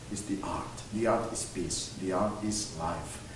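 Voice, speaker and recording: A man speaks fairly slowly at a fairly low pitch, with noticeable background noise and audible room echo. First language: French. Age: young. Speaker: art collector and TV host. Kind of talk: interview. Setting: museum gallery. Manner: halting.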